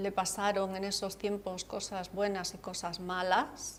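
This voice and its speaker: Monotone, flat intonation in a woman's voice of medium pitch. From Andalusia, Cádiz (Campo de Gibraltar). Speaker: author. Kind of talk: TV interview.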